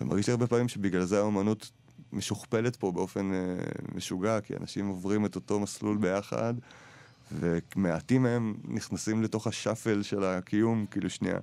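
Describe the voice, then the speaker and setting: A man's fairly low voice, dark and mellow in tone, with fairly even intonation at a moderate pace. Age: 30s. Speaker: radio host. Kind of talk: radio interview. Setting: studio.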